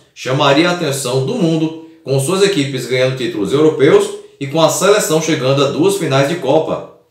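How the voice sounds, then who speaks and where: Moderately paced speech from a man with a fairly high pitch, with audible room echo. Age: 30s. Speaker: football history youtuber. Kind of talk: scripted narration.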